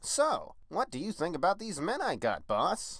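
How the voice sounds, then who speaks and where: This is a cartoonish character voice with a fairly high pitch. It moves at a moderate pace. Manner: deferential, eager.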